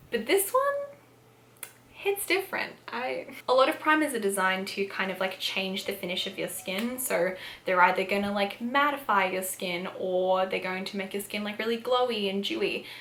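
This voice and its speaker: A woman with an Australian accent talks at a moderate pace, her medium-pitched voice showing ordinary pitch variation. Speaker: beauty youtuber. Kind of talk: product review. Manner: casual, filler-heavy.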